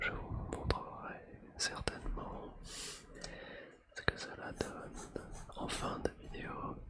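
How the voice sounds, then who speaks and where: A calm-toned whisper against noticeable background noise. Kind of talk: ASMR whispering while drawing. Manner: whispered, calm.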